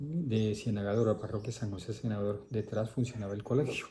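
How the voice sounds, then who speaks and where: A man talks in a somewhat breathy voice. His tone is dark and mellow, with ordinary pitch variation. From Colombia, Caribbean coast (Córdoba). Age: 60s. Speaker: priest. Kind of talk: interview, life story.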